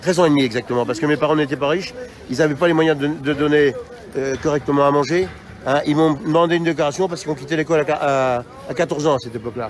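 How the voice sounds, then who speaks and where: Over noticeable background noise, a man with a fairly high pitch rattles along at a very fast pace with ordinary pitch variation. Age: 60s. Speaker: protester. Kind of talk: street interview. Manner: animated.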